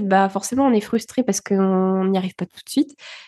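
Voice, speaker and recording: A woman speaks at a fairly quick pace with a dark, mellow tone and medium pitch. The sound is dry and close with no echo, over a quiet background. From France, early childhood in Bulgaria. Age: 20s. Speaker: podcaster. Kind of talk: interview. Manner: hesitant, many fillers.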